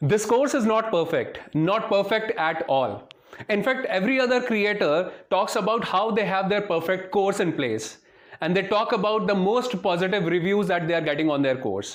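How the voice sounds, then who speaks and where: With an Indian accent, the speaker keeps a moderate pace, ordinary pitch variation and very even loudness, while audible room echo and noticeable background noise fill the recording. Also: man, high pitch for a man. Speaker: software trainer. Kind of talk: sales pitch.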